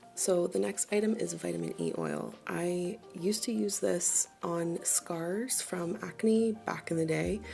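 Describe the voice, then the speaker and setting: A soft-spoken woman at a fairly slow pace with music in the background. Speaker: beauty vlogger. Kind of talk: casual product review.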